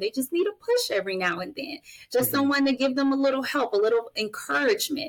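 There is noticeable background noise in this clip. The woman's intonation is lively. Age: 30s. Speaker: mental health advocate and family guardian. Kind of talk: interview conversation.

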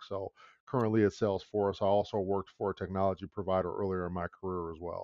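Speaking fairly quickly in a normal speaking voice, a man with an American accent talks at a fairly low pitch. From US Midwest, Detroit, Michigan. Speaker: business executive. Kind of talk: interview.

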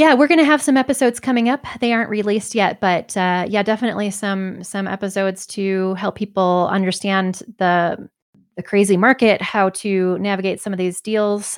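A woman talks at a moderate pace with hardly any pauses, ordinary pitch variation and a normal speaking voice. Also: medium pitch for a woman, very clean recording, silent background. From Michigan. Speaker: physician and real estate agent. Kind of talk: interview conversation.

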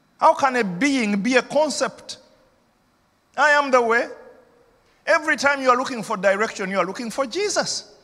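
A man with an extremely high pitch speaks in a raised, projected voice at a moderate pace. His tone is animated and his intonation lively, with long, frequent pauses. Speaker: senior pastor. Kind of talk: sermon. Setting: church. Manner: animated, rousing pulpit delivery, urging the congregation to shout back; repetitive, emphatic, persuasive.

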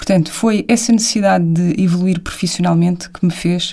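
A woman speaks in an unremarkable speaking voice, fairly low in pitch. Her pace is moderate, with ordinary pitch variation. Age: 30s. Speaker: television producer and business co-founder. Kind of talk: casual chat.

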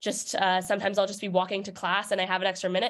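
The woman has an American accent and a medium pitch. She talks at a very fast pace. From New York City. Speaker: college student athlete. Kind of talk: interview. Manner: hesitant with many fillers.

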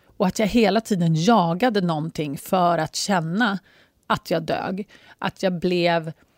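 A woman speaks fairly slowly in a fairly low voice with ordinary pitch variation. The recording is very clean, with a silent background and a dry, close sound with no echo. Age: 40s. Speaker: life coach. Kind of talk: casual monologue. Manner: animated.

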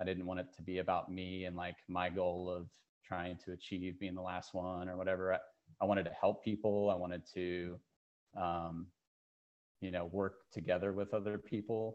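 In an American accent, a man with a very deep, low pitch speaks at a moderate pace with monotone, flat intonation. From Kansas. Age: 40s. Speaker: insurance analyst and ultrarunner. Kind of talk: casual chat.

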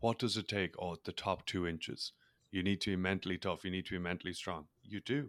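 On a very clean recording with a silent background and a dry, close sound with no echo, a man with an Irish accent speaks at a very deep, low pitch in a fairly even intonation. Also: fairly quick pace. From Ireland. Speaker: mindset coach and former rugby player. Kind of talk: casual interview.

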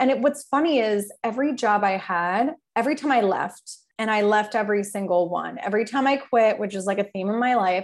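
A woman's unremarkable speaking voice, fairly high in pitch with ordinary pitch variation, at a fairly quick pace. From New Jersey. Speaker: PR firm owner. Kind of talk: casual chat.

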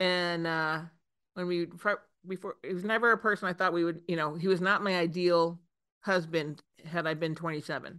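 Against a quiet background, a woman with an ordinary speaking voice talks at a fairly quick pace, with a fairly low pitch and fairly even intonation. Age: 50s. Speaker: CEO of a PR agency. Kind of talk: casual interview.

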